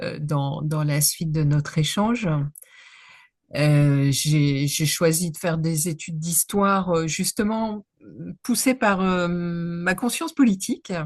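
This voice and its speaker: A woman with a fairly low, somewhat breathy voice speaks at a very slow pace. Her pitch varies in an ordinary way against a quiet background. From northern France (Nord). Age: 60s. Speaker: history professor. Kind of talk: interview. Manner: halting, many hesitations.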